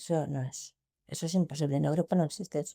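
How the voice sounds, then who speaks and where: Recorded very cleanly against a silent background, a woman talks at a fairly quick pace with vocal fry. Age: 60s. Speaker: former school principal. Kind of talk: interview. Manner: halting, with repetitions.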